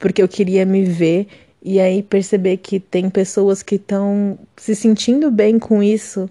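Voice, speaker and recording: A woman with a dark, mellow tone talks at a moderate pace and a medium pitch. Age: 20s. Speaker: writer. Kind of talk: recorded testimony.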